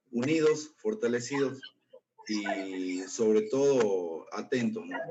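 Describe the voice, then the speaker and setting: At a very slow pace, the speech shows ordinary pitch variation. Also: man. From Jujuy, northwestern Argentina. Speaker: political activist. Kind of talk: formal remarks in meeting.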